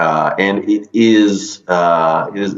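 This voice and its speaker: Audible room echo hangs around this voice. It belongs to a man with a very deep, low pitch. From Israel. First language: Hebrew. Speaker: shamanic energy healer. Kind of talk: interview. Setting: video call. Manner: halting.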